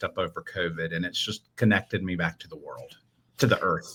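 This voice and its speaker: A man with a Southern US accent speaks at a fairly quick pace. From US Southeast. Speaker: children's minister and artist. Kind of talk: interview.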